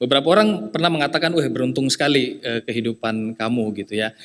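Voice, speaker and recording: Speaking with a slight eastern Indonesian accent, a man has a medium pitch. He goes at a fairly quick pace. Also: very clean recording, silent background. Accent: slight eastern Indonesian (Papuan). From eastern Indonesia (Jayapura, Papua), Nias family. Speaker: lay preacher. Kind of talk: sermon. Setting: church service. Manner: conversational with many fillers.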